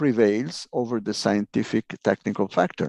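A man with an Italian accent, fairly low in pitch, with a dark, mellow tone and a dry, close sound with no echo. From Italy. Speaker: UFO researcher. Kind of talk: interview. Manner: halting.

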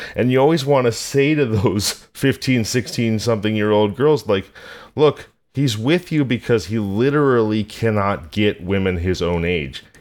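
A man's fairly low voice with an American accent, a plain, everyday voice at a fairly slow pace with lively intonation. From rural California. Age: 40s. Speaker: podcast host. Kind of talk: scripted narration; casual chat. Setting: remote call.

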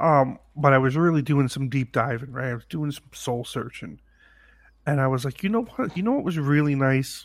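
Recorded very cleanly with a silent background, a man with a normal speaking voice talks at a moderate pace, his pitch fairly high and its variation ordinary. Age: 30s. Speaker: podcast co-host. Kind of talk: casual chat.

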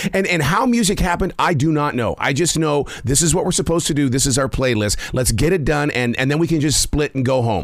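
A man's fairly high, animated voice at a very fast pace, with lively intonation and hardly any pauses. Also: very even loudness. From Montana, US. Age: 60s. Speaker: podcast host. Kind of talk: interview.

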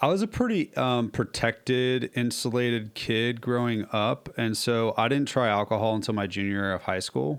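At a moderate pace, a man with a plain, everyday voice speaks in a medium pitch with ordinary pitch variation. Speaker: author and speaker in recovery. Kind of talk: casual interview conversation. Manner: casual, conversational.

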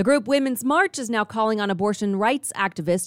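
Recorded very cleanly with a silent background and a dry, close sound with no echo, a woman uses a plain, everyday voice at medium pitch, speaking at a fairly quick pace with lively intonation. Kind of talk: news reading. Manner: brisk, even, formal news-anchor delivery; clipped, matter-of-fact, steady pace.

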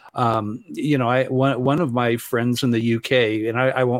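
At a moderate pace and medium pitch, a man with an American accent talks in an unremarkable speaking voice, recorded very cleanly with a silent background and a dry, close sound with no echo. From Southern California. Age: 60s. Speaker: ufology teacher and singer-songwriter. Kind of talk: interview.

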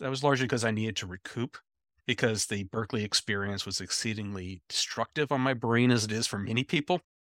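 A man's ordinary speaking voice at a medium pitch with ordinary pitch variation and a dry, close sound with no echo. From US Pacific Northwest, Seattle. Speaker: chemistry professor. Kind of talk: interview. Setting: video call from office.

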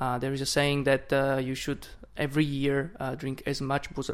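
A man with a Slovak accent speaks at a moderate pace with a fairly high pitch and monotone, flat intonation, on a very clean recording with a silent background. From Slovakia. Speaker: wine importer. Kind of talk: wine tasting chat. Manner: halting.

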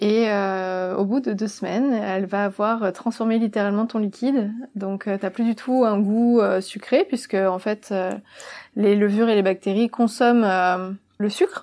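At a fairly slow pace, a woman speaks with a dark, mellow tone, medium pitch and fairly even intonation. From Provence, southern France. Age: 30s. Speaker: kombucha brewery co-founder. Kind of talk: interview.

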